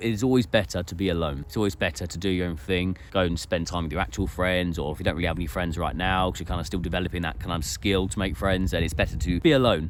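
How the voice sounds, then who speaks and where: Talking at a very fast pace with hardly any pauses, a man uses a very deep, low pitch marked by vocal fry. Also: ordinary pitch variation. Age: 30s. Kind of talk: casual talk to camera.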